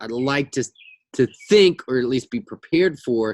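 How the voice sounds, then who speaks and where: A man with an unremarkable speaking voice talks at a moderate pace and medium pitch, his intonation lively, in a dry, close sound with no echo. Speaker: forex trading educator. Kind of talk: market analysis tutorial. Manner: casual with many fillers.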